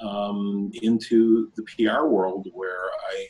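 A man is speaking. He talks with an American accent. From upstate New York (Buffalo); New York. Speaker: blockchain investor and CEO; interviewee. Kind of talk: interview. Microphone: video call.

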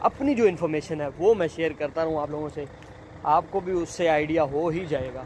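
A man speaks at a fairly quick pace in a fairly high voice with a slightly mellow tone. Faint background noise can be heard. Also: ordinary pitch variation.

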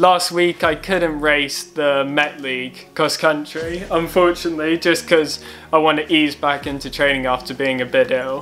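Moderate pace with hardly any pauses and fairly even intonation, plus faint music in the background. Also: man. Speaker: club runner vlogger. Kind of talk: casual vlog chat. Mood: relaxed, calm. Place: home room. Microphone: webcam.

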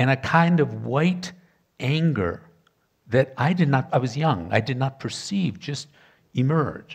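A man speaks with an American accent in a somewhat breathy voice with lively intonation. He goes at a fairly slow pace with long, frequent pauses, against a quiet background. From Michigan, US Midwest (Detroit area); Michigan. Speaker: professor, historian of ideas; professor. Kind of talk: panel discussion. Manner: hesitant, frequent ums. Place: stage. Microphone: headset.

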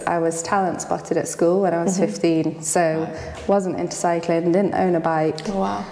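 Woman with fairly low pitch and fairly even intonation, audible room echo. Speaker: interviewee. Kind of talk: interview answer. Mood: relaxed, reflective, some laughs. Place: home room.

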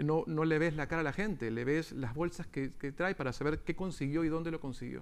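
A man's fairly high voice moves at a fairly quick pace, its pitch varying in an ordinary way. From Peru, later long in Venezuela. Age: 40s. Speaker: theatre producer; guest. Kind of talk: radio interview. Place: studio. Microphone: lapel.

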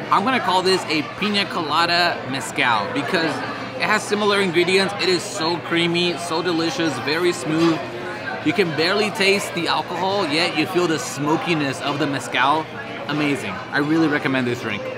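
Clear music plays behind a man whose pitch varies in an ordinary way. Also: moderate pace. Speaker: food vlogger. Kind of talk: casual vlog chat. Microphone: phone near.

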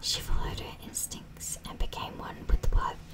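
A whisper at a moderate pace. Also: woman. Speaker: ASMR creator. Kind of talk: ASMR whispered story reading. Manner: whispered. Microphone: studio mic.

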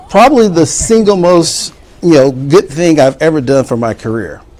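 This is a man speaking. He talks with a Mississippi accent. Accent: Southern US (Mississippi). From US South, Mississippi Delta. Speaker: university dean. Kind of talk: interview. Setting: studio. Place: studio. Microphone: lapel.

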